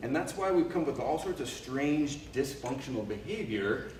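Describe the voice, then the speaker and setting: Noticeable background noise is present throughout. Audible room echo also surrounds the voice. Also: man. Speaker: leadership speaker and cultural anthropologist. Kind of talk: workshop talk. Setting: live audience, no microphone. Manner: loud, projecting without a mic; hesitant with repeated words. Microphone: no microphone used.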